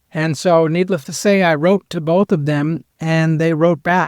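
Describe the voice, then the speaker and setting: This man has an unremarkable speaking voice, pitched fairly high. He talks at a fairly slow pace with fairly even intonation. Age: 60s. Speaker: bigfoot researcher. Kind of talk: podcast interview.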